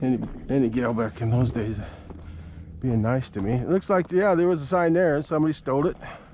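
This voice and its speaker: Pitch swings very widely at a fairly quick pace over noticeable background noise. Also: man. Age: 70s. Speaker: vlogger. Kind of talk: casual chat. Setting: outdoors. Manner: halting.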